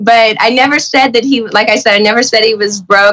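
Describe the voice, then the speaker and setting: A woman's plain, everyday voice, fairly high in pitch, with fairly even intonation at a moderate pace. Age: 40s. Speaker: former reality TV contestant. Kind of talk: casual interview.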